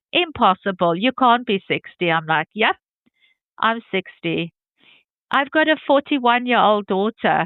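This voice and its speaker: With a plain, everyday voice, a woman speaks at a moderate pace in a fairly high pitch and with lively intonation. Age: 50s. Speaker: interviewee sharing health journey. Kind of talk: testimony interview.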